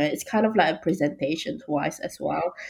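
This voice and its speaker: On a very clean recording with total silence behind her, the woman's voice sits very deep and low. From Malaysia. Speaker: recent graduate. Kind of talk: interview. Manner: hesitant with fillers.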